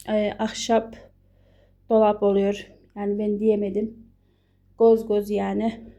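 The woman speaks in a dark, mellow tone with monotone, flat intonation. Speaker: vlogger, housewife. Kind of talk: home tour vlog. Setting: at home. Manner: casual, chatty.

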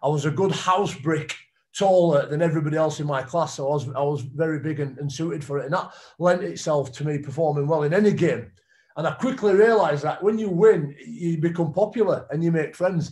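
Talking fairly quickly in a Yorkshire accent, a man uses a fairly high pitch with ordinary pitch variation. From northern England. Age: 30s. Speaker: retired rugby league player; guest. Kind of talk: testimony. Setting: video call. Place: home room. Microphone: video call.

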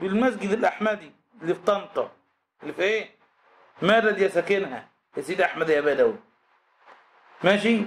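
The man's voice is high and his tone animated, with ordinary pitch variation. He talks at a fairly quick clip but takes long, frequent pauses. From Egypt. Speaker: Islamic scholar teaching a text; religious teacher. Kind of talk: religious lesson. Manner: animated, rhetorical questions. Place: classroom. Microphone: studio mic.

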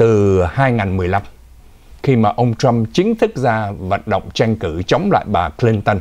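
It's a man talking, fairly slowly. Behind him, things stay quiet. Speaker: news anchor. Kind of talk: news commentary. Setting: studio. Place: studio.

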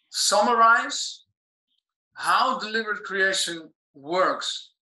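A man speaks in a raised, projected voice with ordinary pitch variation, and the room echo is audible. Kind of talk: question in a live Q&A session. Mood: polite, slightly nervous. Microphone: video call.

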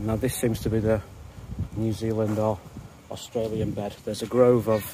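A man's flat, monotone voice, dry with no echo, over noticeable background noise. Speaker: garden vlogger. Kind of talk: casual vlog chat. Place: garden. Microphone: phone near.

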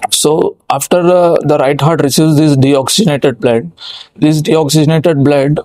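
A man talks at a fairly quick pace with ordinary pitch variation, his voice dry with no echo against a quiet background. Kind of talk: medical explainer lecture. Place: studio. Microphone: lapel.

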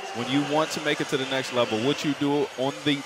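The man talks at a fairly quick pace. Noticeable background noise runs behind him. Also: dry sound with no echo. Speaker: color analyst, former player. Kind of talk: live sports commentary. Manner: emphatic, coach-like. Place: booth. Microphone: headset.

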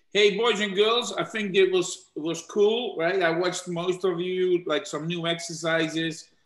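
A man talks in a high pitch with audible room echo against a quiet background. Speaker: youth soccer club coach. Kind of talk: casual wrap-up; casual address to youth team on call. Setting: live video stream. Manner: halting, with fillers. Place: home room. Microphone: video call.

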